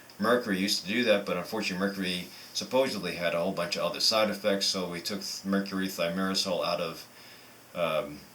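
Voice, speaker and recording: A man speaks very fast in a fairly low voice with fairly even intonation. Noticeable background noise runs beneath him. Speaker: physician. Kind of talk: medical tutorial to camera.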